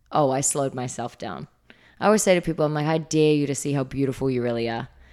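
A woman with a New Zealand accent at a very fast pace, her very deep, low voice dark and mellow with ordinary pitch variation, on a very clean recording with a silent background. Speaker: fitness trainer. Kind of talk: interview. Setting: studio.

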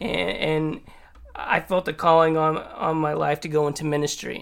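At a moderate pace, a man with an ordinary speaking voice talks at a fairly high pitch and with fairly even intonation. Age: 40s. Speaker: church worship director. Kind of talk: interview testimony.

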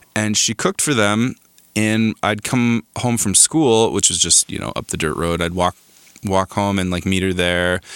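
A man with an American accent speaks in an unremarkable speaking voice at a fairly low pitch and moderate pace, with ordinary pitch variation and a dry, close sound with no echo. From Arizona, small mountain town. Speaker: composer and recording artist. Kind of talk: casual interview chat. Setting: home garage studio.

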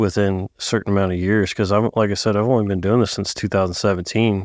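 A man with an American accent, fairly low pitch, fairly even intonation and an unremarkable speaking voice, in a very clean recording with a silent background. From Northern California, outskirts of Sacramento. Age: 30s. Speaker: heavy equipment mechanic. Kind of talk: casual chat.

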